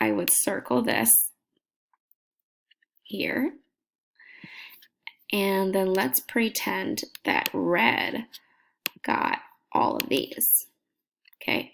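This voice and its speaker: A woman whispers at a very slow pace with long, frequent pauses. Her loudness stays very even. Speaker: teacher. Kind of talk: tutorial. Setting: at home at night. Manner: soft-spoken.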